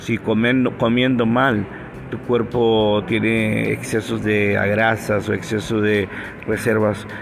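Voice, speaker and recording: Through noticeable background noise, a man with a fairly low pitch speaks very slowly in a flat monotone. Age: 50s. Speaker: podcast preacher. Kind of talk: devotional podcast talk.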